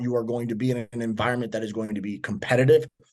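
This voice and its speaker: A man with a strong American accent and fairly even intonation, against a quiet background. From US South, Miami. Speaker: strength and performance coach. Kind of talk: podcast interview.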